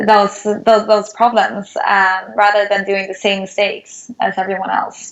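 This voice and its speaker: With a Swedish accent, a woman talks at medium pitch and a fairly slow pace, hardly pausing, in monotone, flat intonation. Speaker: startup founder. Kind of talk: interview.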